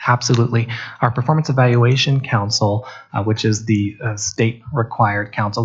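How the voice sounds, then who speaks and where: Somewhat breathy and fairly quick, a man speaks at a fairly low pitch with fairly even intonation. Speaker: district HR administrator. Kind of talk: board meeting presentation. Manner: fast.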